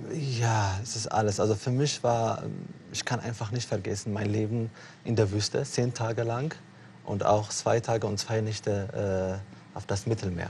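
This man's voice sits fairly low in pitch, and his intonation stays fairly even. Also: moderate pace. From Eritrea. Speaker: refugee and author. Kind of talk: interview on TV talk show. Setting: TV studio. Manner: hesitant, many fillers.

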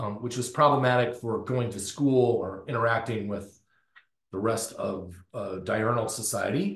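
A man with an American accent speaks at a medium pitch, somewhat breathy. The background is quiet, though there is audible room echo. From US South, North Florida. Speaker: professor, circadian biologist; professor. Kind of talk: lecture. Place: office. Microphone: webcam.

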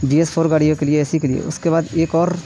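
Light background noise sits behind a man talking at a moderate pace. His intonation is monotone and flat. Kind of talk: tutorial. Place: garage. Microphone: phone near.

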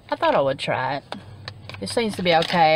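Noticeable background noise surrounds a woman's fairly low voice, which moves quickly through very wide pitch swings in a dry sound with no echo. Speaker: haul vlogger. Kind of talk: casual vlog chat. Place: car. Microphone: phone near.

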